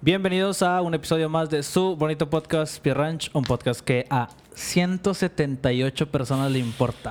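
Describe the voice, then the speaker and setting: A man with a Mexican accent speaks at a fairly slow pace with hardly any pauses. His pitch is fairly high, with ordinary variation. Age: 20s. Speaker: podcast co-host. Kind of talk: casual chat.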